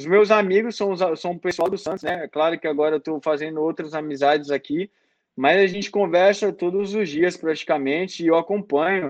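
Over a quiet background, a man talks at a high pitch with fairly even intonation. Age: 20s. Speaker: professional footballer. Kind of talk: interview.

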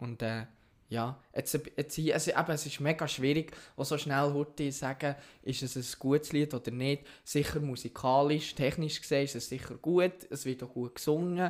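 Speaking at a moderate pace, a man with an ordinary speaking voice keeps a fairly high pitch and fairly even intonation. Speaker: podcast co-host. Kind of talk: casual chat.

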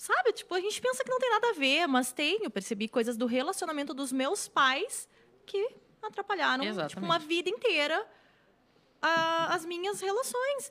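The voice is raised and projected, with a bright, sharp tone. Its pitch swings very widely at a moderate pace. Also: woman, extremely high pitch for a woman. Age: 30s. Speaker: writer and screenwriter. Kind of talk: casual chat.

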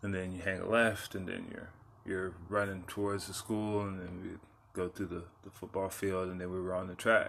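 Someone with an American accent speaks at a moderate pace with monotone, flat intonation. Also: man, very deep, low pitch for a man. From Texas (San Antonio). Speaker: podcast host. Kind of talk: personal monologue.

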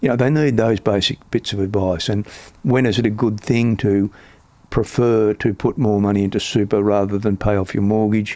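In an Australian accent, a man speaks at a moderate pace with a dark, mellow tone and fairly low pitch. His loudness stays very even in a very clean recording with a silent background. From Australia, Melbourne. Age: 70s. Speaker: superannuation industry veteran. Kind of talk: interview.

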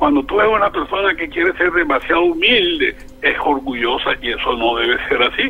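A man with a Colombian Caribbean accent at a fairly quick pace, over noticeable background noise. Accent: Colombian Caribbean (costeño) Spanish. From Colombian Caribbean coast, Barranquilla. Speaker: criminal lawyer and former mayor. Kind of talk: interview. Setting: phone call.

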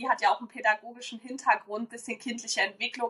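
Her voice is high and bright with a sharp tone, and this woman keeps her intonation fairly even. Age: 20s. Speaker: podcast host and sleep consultant. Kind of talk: casual chat.

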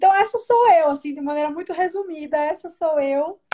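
A woman speaks in an extremely high voice with a dark, mellow tone. Her pace is moderate and her pitch variation ordinary. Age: 20s. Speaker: political commentator. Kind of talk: casual chat.

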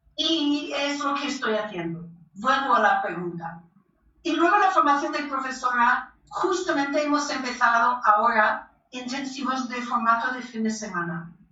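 With audible room echo, a woman talks at a fairly slow pace in a high pitch with very wide pitch swings. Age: 60s. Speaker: belly dance teacher and author. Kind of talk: interview. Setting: remote call.

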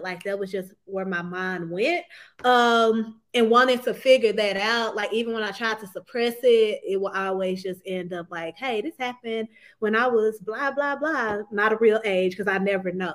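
This woman has a plain, everyday voice with a fairly high pitch and ordinary pitch variation. She speaks at a moderate pace on a very clean recording with a silent background. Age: 20s. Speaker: author. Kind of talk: interview.

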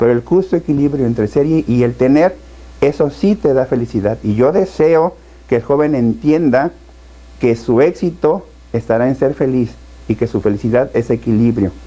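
Dark, mellow tone at a moderate pace, with ordinary pitch variation and very even loudness. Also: man, medium pitch for a man. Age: 50s. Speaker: state education official and politician. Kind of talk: interview.

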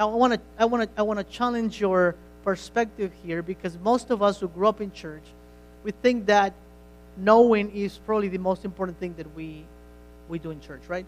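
A man with a non-native accent speaks in a high pitch at a moderate pace with fairly even intonation. His loudness swings widely. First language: not English. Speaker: pastor. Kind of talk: sermon. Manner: halting, with repeated words.

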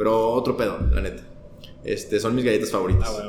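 With a Mexican accent, a man speaks at a fairly quick pace. Noticeable background noise and audible room echo are present. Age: 20s. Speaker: podcast guest. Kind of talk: casual chat.

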